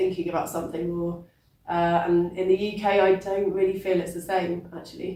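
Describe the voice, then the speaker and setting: Speaking at a moderate pace with a British accent, a woman has a fairly low pitch and a dark, mellow tone. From England. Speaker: poet. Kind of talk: interview. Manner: hesitant, many fillers.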